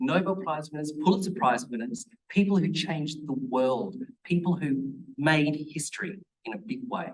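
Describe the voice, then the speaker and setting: Here a man with a fairly high pitch talks at a moderate pace. His intonation is lively. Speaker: PhD candidate in marine biology. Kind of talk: presentation to students. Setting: room recording, poor audio. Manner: hesitant, with fillers and repeated words.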